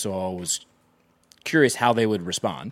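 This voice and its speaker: Moving at a moderate pace, a man speaks with lively intonation. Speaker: co-host volleyball show. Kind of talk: casual sports talk show chat. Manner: joking, teasing.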